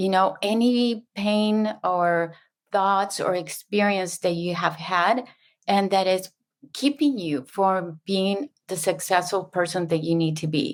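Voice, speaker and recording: In a very clean recording with a silent background, a woman with a Spanish accent speaks very slowly at a medium pitch with ordinary pitch variation. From Mexico. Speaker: subconscious mind facilitator. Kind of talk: interview.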